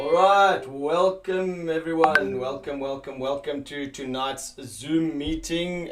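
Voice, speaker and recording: A man speaks at a very slow pace. Music plays in the background. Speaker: online meeting host. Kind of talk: video call meeting. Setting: video call. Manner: animated when excited.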